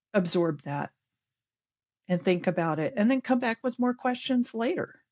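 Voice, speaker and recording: This is a woman speaking. Her pace is moderate. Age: 60s. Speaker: scrum master and workplace pride chair. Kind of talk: podcast interview.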